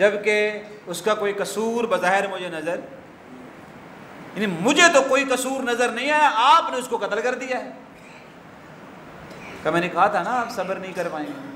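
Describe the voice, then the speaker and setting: A man with a high voice speaks in a raised, projected way with lively intonation. Noticeable background noise runs behind him. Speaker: Islamic scholar giving a sermon. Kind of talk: religious sermon (khutba-style lecture).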